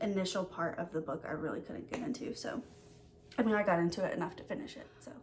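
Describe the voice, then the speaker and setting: A woman at medium pitch with ordinary pitch variation, against noticeable background noise. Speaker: book YouTuber. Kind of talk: casual vlog chat. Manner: fast; hesitant with many fillers.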